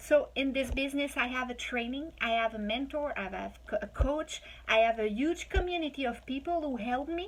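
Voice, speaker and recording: A woman talks at a fairly quick pace with hardly any pauses. Her voice is high-pitched, with a Quebec accent. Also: ordinary pitch variation. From Quebec, Quebec City. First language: French. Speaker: online business promoter. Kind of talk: sales pitch. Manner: animated.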